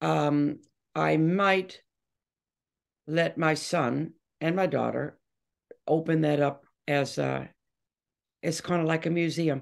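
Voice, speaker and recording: A woman's very deep, low voice in an American accent, very slow and monotone, with flat intonation, very even loudness and long, frequent pauses. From Detroit, Michigan, USA. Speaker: rock singer and bass guitarist. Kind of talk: interview answer.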